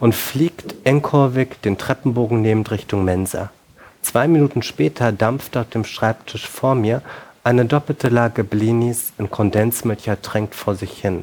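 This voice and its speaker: Pitch shifts an ordinary amount. The speaking pace is moderate. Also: man. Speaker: novelist. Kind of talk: reading aloud. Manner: halting.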